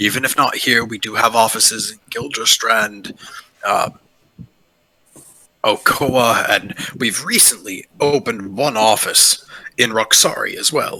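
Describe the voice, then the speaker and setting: Raspy and clearly a put-on character voice, the delivery moves at a fairly slow pace broken by long, frequent pauses. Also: man, medium pitch for a man. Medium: actual play. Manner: courteous, measured.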